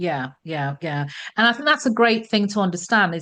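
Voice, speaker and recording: A woman with a British accent, lively intonation and a fairly quick pace, against a quiet background. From Britain. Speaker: podcast host and career strategist. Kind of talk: interview. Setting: podcast.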